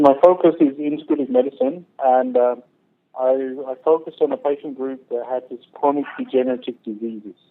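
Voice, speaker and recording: A fairly high-pitched man at a fairly quick pace, fairly even intonation, big swings in loudness. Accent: British. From Great Britain. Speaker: naturopathic doctor. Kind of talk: interview.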